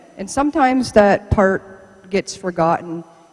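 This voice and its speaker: At a moderate pace, a woman speaks at medium pitch with noticeable background noise. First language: Mohawk. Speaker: archaeology supervisor. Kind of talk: public lecture.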